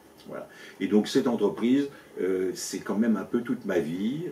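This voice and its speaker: With lively intonation, a man speaks fairly slowly. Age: 60s. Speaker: business owner and local election candidate. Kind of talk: interview. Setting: at his company premises. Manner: halting, many fillers and repetitions.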